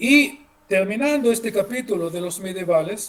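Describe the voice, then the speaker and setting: A man with lively intonation speaks fairly slowly while noticeable background noise plays behind him. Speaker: history lecturer. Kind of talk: lecture. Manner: halting, many fillers and repeats.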